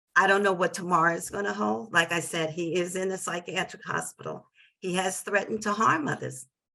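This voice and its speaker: A woman with an American accent speaks at a fairly low pitch with vocal fry. Her pace is moderate and her pitch variation ordinary. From New Jersey. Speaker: parent advocate. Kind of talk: webinar testimony.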